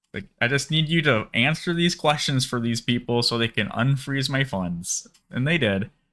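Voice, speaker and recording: A man's bright, sharp, medium-pitched voice in a Minnesotan accent, with lively intonation at a moderate pace. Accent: Minnesota. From Minnesota, US. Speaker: bitcoin YouTuber. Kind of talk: casual storytelling. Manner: halting, many fillers.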